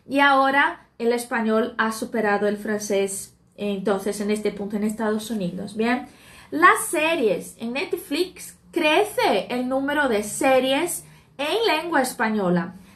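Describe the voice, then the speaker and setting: Speaking very slowly, a woman with a Portuguese accent uses a fairly high pitch. Her intonation is lively. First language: Portuguese (speaking Spanish). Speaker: Spanish teacher. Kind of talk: live stream talk. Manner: hesitant with fillers.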